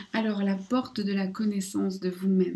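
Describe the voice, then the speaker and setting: A woman talks at a very slow pace with a medium pitch. Her voice is somewhat breathy. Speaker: oracle card reader / spiritual guidance channel host. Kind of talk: casual talk to camera, oracle card reading.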